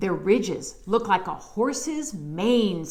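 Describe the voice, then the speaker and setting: A woman does a put-on character voice at a medium pitch, with lively intonation and a fairly slow pace, over light background noise. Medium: read story. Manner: friendly and encouraging.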